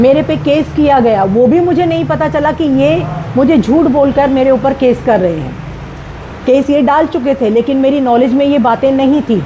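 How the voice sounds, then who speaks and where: Over noticeable background noise, a woman speaks in a high pitch with lively intonation. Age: 60s. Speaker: retired teacher in a property dispute. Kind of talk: statement to the media.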